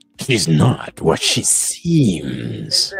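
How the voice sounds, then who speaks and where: In a put-on character voice, a man pitches his speech very deep and low. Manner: dramatic, ominous.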